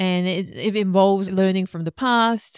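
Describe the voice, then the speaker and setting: In a Korean accent, a woman talks at a moderate pace and medium pitch with ordinary pitch variation, the sound dry and close with no echo. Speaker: relationship coach and podcast co-host. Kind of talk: casual chat.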